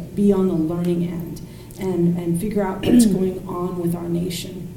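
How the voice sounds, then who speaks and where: A woman speaks at a medium pitch. Noticeable background noise and audible room echo surround her voice. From Thailand. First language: Thai. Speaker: political commentator. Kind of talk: casual chat. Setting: backyard guest house.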